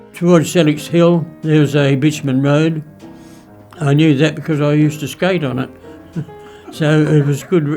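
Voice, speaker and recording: Over music in the background, a man with an Australian accent talks in a monotone, flat intonation, leaving long, frequent pauses. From South Australia. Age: 80s+. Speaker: WWII veteran. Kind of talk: interview answer.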